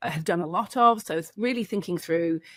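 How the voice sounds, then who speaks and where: Dry and close with no echo, a woman with an English accent speaks at a fairly low pitch. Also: very clean recording, silent background. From England. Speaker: addiction clinic co-founder. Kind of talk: interview. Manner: hesitant, many fillers.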